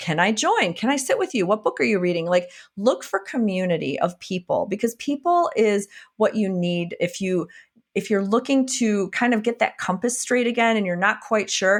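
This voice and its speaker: On a very clean recording with a silent background, a woman with a Wisconsin accent speaks at a moderate pace, her fairly high pitch shaped by lively intonation. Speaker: functional medicine physician and coach. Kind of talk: podcast interview. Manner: animated.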